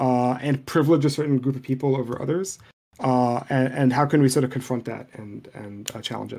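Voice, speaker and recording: A man with an Arabic accent speaks fairly quickly at a medium pitch, his intonation fairly even. His tone is dark and mellow, with big swings in loudness. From Lebanon, Beirut. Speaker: programming language designer and teacher. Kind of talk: podcast interview. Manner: halting, many repetitions.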